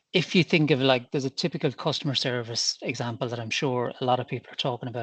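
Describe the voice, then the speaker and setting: Here is a man with an Irish accent and a medium pitch, talking at a fairly quick pace. The sound is dry and close with no echo, and the background is quiet. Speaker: business leader, meeting attendee. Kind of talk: Q&A question. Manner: halting, with false starts.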